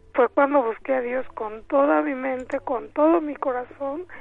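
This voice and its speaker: A woman speaks at a high pitch. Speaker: caller giving testimony. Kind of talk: phone testimony.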